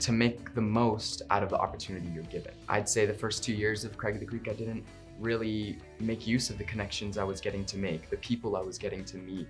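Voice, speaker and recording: Music plays behind a man with a fairly low pitch. He speaks at a fairly quick pace with ordinary pitch variation. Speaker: voice actor. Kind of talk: interview answer.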